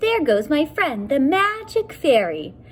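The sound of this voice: A woman puts on a squeaky character voice, high-pitched with very wide pitch swings, at a fairly slow pace. Background noise is clearly audible.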